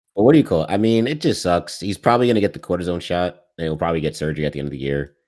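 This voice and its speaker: At a very fast pace with hardly any pauses, a man talks in a very deep, low pitch and lively intonation on a very clean recording with a silent background. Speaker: podcast co-host. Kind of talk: casual sports chat.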